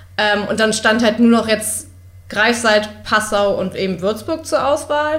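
A normal speaking voice from a woman, fairly slow, fairly high-pitched, and with ordinary pitch variation. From Berlin. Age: 20s. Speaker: university student. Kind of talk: casual interview.

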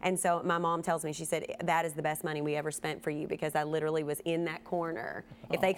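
A woman with a Kentucky accent, fairly low in pitch, at a fairly quick pace. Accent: Kentucky Southern US. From Kentucky, US. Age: 30s. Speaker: TV news reporter and podcast host. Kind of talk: casual chat.

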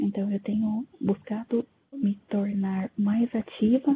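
A woman talks with fairly even intonation. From interior of São Paulo, Brazil. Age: 20s. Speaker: discussion moderator. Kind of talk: casual panel discussion. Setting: online video call.

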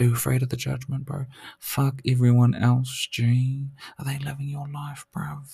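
At a medium pitch, a man talks at a moderate pace in a dark, mellow, somewhat breathy tone, his intonation flat and monotone, with long, frequent pauses. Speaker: podcast host. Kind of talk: casual motivational monologue.

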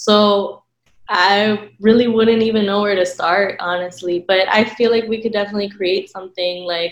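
Using an ordinary speaking voice, a woman talks at medium pitch and a moderate pace with fairly even intonation. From United States, partly raised in Ecuador. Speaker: graduate student panelist. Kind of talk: panel discussion.

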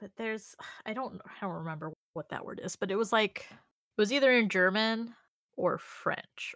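With an American accent, a woman speaks in an unremarkable speaking voice at a fairly high pitch and a moderate pace, with ordinary pitch variation and big swings in loudness, on a very clean recording with a silent background. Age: 20s. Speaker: podcast co-host. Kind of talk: casual chat.

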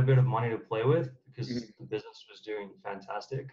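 An American-accented man speaks in a somewhat breathy, medium-pitched voice. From United States. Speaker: startup founder. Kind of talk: interview.

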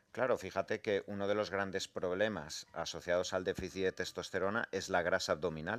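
On a very clean recording with a silent background, the speaker goes at a fairly quick pace with hardly any pauses, very even loudness and fairly even intonation. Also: man, very deep, low pitch for a man. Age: 40s. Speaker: doctor and author. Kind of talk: radio interview.

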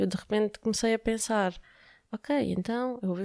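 Her voice is dark and mellow, pitched in a medium range for a woman. The sound is dry and close with no echo, and her intonation is fairly even. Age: 30s. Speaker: UX/UI designer and app entrepreneur. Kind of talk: interview. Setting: company office.

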